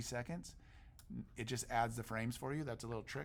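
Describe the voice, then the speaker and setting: A man at a fairly quick pace, an ordinary speaking voice with ordinary pitch variation. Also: very clean recording, silent background. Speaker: teacher. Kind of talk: tutorial. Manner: casual.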